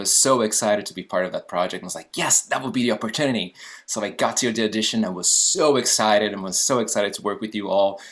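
A man talks at a very fast clip in a fairly low voice, his tone animated, his pitch moving in an ordinary way, with hardly any pauses. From Brazil. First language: Portuguese. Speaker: actor and guest host. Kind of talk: interview.

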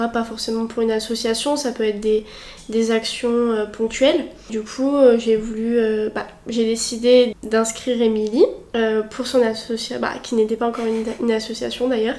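Over noticeable background noise, a woman with a fairly high pitch talks in a monotone, flat intonation. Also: moderate pace. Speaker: student association vice-president. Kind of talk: casual interview. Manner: hesitant, many fillers.

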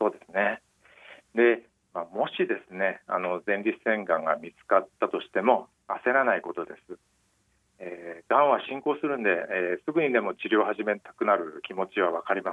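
A man's loudness rises and falls sharply as he talks at a moderate speed. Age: 50s. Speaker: newspaper medical journalist. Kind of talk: interview about personal cancer experience. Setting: phone call.

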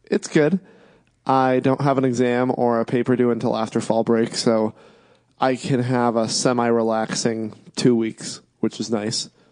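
An unremarkable speaking voice from a man, medium in pitch, with fairly even intonation, very even loudness and a fairly slow pace. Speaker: podcast co-host. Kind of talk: casual banter about sports.

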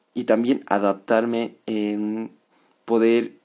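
A man talks in a calm tone. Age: 20s. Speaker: podcast host and psychology student. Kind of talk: casual monologue.

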